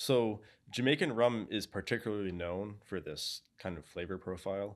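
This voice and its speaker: A plain, everyday voice speaks with an American accent and lively intonation. The pace is moderate and the background is quiet. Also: man. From New England (Boston area); New England. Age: 20s. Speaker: video interviewer and narrator; video interviewer, narrator. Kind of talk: scripted narration and interview. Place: studio.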